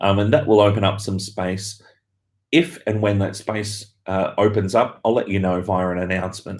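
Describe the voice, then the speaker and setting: The delivery keeps a moderate pace. Intonation stays fairly even. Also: man, fairly low pitch for a man. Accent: Australian. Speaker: university lecturer. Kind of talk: live Q&A stream. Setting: office, live stream from laptop. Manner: hesitant with fillers.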